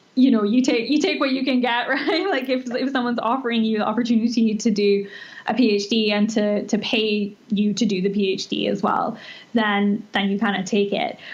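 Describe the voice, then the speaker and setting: A woman talks at a fairly quick pace, her voice fairly high with ordinary pitch variation. Noticeable background noise runs underneath. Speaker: nutritionist. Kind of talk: interview. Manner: hesitant, many fillers.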